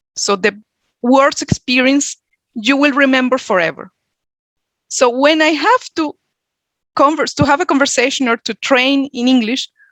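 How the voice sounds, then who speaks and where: In a dry, close recording with no echo, a woman with a Venezuelan accent speaks at a high pitch, leaving long, frequent pauses. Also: ordinary pitch variation, moderate pace. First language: Spanish. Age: 40s. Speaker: HR coach and workshop speaker. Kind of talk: workshop presentation.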